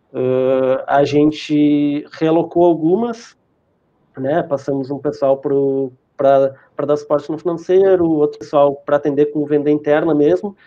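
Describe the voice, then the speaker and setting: In an ordinary speaking voice, a man with a fairly high pitch talks at a fairly slow pace with fairly even intonation. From southern Rio Grande do Sul, Brazil. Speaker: internet provider sales team manager. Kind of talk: live-stream interview.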